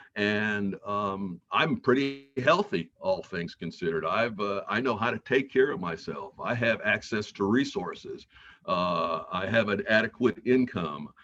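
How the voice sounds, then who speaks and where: Music plays in the background as a man talks at a fairly slow pace. He leaves hardly any pauses. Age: 70s. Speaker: mental health practitioner leading a talk. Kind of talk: educational talk to a community group. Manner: halting, frequent uh fillers.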